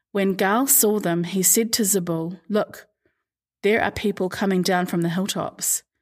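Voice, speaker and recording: A woman speaks at medium pitch with a plain, everyday voice. Her pace is moderate and her intonation fairly even, on a very clean recording with a silent background. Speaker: podcast host reading scripture. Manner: measured, steady narrator pace with expressive shifts into quoted dialogue; formal, reverent tone.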